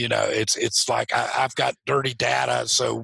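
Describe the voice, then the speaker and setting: In a dry, close recording with no echo, a man speaks at a moderate pace. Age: 60s. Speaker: real estate developer. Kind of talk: interview.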